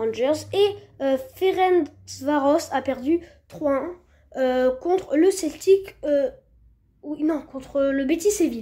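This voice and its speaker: A woman's voice carries a dark, mellow tone and lively intonation. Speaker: football news youtuber. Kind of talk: scripted news roundup voiceover. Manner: halting, many fillers.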